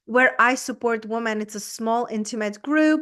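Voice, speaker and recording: Against a quiet background, a woman with a fairly high pitch talks at a moderate pace with ordinary pitch variation. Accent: Czech. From Czech Republic. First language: Czech. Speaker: business coach. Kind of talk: interview.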